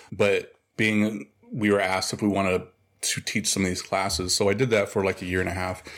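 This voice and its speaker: A man with an American accent talks at a fairly quick pace with fairly low pitch and monotone, flat intonation, on a very clean recording with a silent background. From Oklahoma, US. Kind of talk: interview conversation.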